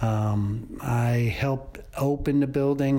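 Intonation stays fairly even from this man. He has a normal speaking voice at medium pitch. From Columbia, South Carolina, US South. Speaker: theater technical director. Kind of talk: interview.

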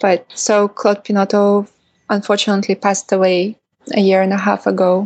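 Someone talks in a Russian accent. The speech moves at a moderate pace. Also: woman. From Russia, Kaliningrad. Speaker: documentary filmmaker. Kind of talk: interview.

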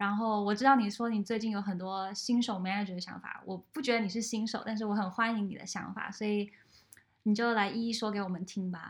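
Her pitch is medium. A woman speaks at a fairly quick pace in a somewhat breathy voice. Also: fairly even intonation. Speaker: podcast host. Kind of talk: casual interview.

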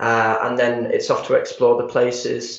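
A man speaks in a Yorkshire accent. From Harrogate, Yorkshire, England. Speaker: public relations executive. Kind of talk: radio interview.

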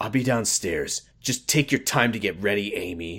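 A growling, put-on character voice moves at a moderate pace. The recording is very clean, with a silent background. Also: man, medium pitch for a man. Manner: harsh.

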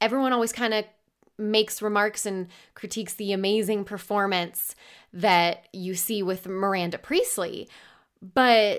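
On a very clean recording with a silent background, a woman with a normal speaking voice talks at a moderate pace and a medium pitch. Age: 20s. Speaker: podcast host. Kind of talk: casual solo podcast monologue.

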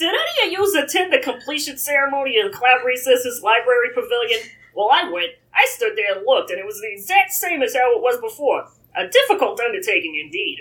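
A female-sounding voice in a put-on character act runs at a fairly quick pace, pitched high and swinging very widely up and down. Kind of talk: comic read-aloud character voice. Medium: read story. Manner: knowing, conversational.

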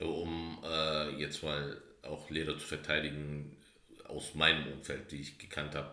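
A man speaks at a very deep, low pitch with vocal fry and a bright, sharp tone. Audible room echo surrounds his voice. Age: 30s. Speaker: podcast co-host. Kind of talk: casual chat.

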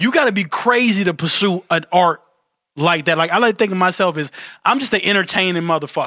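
In a raised, projected voice, a man talks at a high pitch with a bright, sharp tone. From Detroit, US. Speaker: real estate investor and entertainer. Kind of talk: casual chat.

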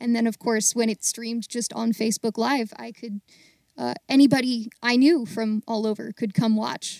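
A woman's unremarkable speaking voice at a moderate pace, in a very clean recording with a silent background and a dry, close sound with no echo. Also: fairly high pitch for a woman, fairly even intonation. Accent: American. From US, Baltimore. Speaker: actor and singer, audio theater volunteer. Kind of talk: casual interview.

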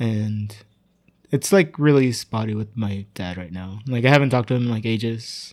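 The recording is very clean, with a silent background. A man talks at a moderate pace with medium pitch and ordinary pitch variation. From Tijuana and San Diego area, Mexico/US border. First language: Spanish. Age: 30s. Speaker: improviser and theater worker. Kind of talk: casual interview chat.

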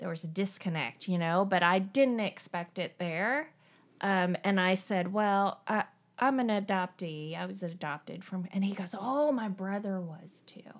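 Over a very clean recording with a silent background, a woman with a slight Southern Appalachian accent speaks fairly slowly at a medium pitch, with ordinary pitch variation. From eastern Tennessee, Appalachia. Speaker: coworker guest, adoptee. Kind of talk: casual chat. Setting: at her home.

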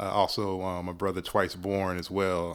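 The recording is very clean, with a silent background. A man speaks in a very deep, low pitch. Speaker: podcaster and hip-hop writer. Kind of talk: casual interview chat.

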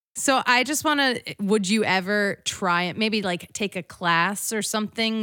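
This woman's voice sounds animated, with a bright, sharp tone. Her pitch sits in the medium range and varies in an ordinary way. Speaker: podcast host. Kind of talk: casual chat. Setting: studio.

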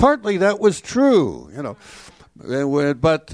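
A man with an American accent swings very widely in pitch on a very clean recording with a silent background. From Chicago, Illinois. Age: old. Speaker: advocacy committee member. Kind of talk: panel talk.

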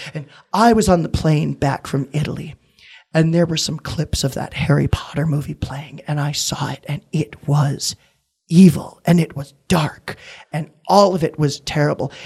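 In an American accent, the speaker sounds somewhat breathy, keeping a moderate pace and fairly even intonation. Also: man, fairly high pitch for a man. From US Midwest, Wisconsin. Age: 20s. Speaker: actor and comedian. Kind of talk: casual interview.

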